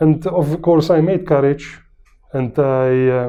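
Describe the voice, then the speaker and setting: Here a man speaks with a Maltese accent. His pitch is fairly high and his pace fairly slow. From Malta. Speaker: patient. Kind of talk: testimonial interview. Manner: hesitant, many fillers.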